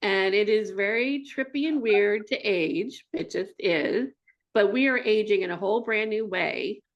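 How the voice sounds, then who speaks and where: A woman with a fairly high pitch and lively intonation speaks at a fairly slow pace. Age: 60s. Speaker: artist and speaker. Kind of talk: interview conversation. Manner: halting, many false starts.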